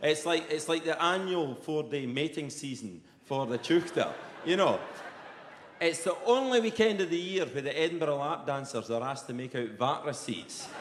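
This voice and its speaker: In a strong Perthshire accent, a man speaks at a moderate pace with lively intonation, amid noticeable background noise and audible room echo. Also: fairly high pitch for a man. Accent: broad Perthshire Scottish. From Scotland, Perthshire. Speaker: comedian. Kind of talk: stand-up. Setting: stage with audience. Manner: animated.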